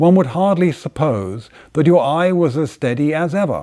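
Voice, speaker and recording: Here a man speaks with an English accent. His tone is dark and mellow, with lively intonation. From England. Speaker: inventor and designer. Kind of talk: poetry reading. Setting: workshop by the fire.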